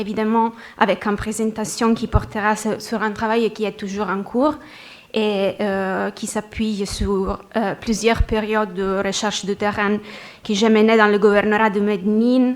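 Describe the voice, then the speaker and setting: A woman with a non-native accent speaks very slowly at a fairly high pitch. Her intonation stays monotone and flat. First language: not French (speaking French). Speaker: researcher presenting at a conference. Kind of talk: conference presentation. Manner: halting, many hesitations.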